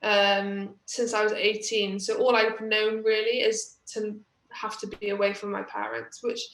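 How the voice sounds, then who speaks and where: Audible room echo carries a woman's fairly high voice. She speaks in a Welsh accent with monotone, flat intonation. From Wales. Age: 20s. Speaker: badminton player. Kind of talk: interview. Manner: hesitant, many fillers.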